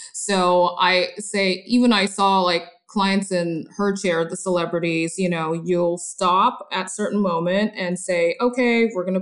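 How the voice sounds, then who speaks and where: A woman with an ordinary speaking voice and medium pitch talks at a fairly slow pace with hardly any pauses and fairly even intonation. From Korea, raised in Los Angeles from age eight. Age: 40s. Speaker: hair colorist. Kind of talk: interview conversation.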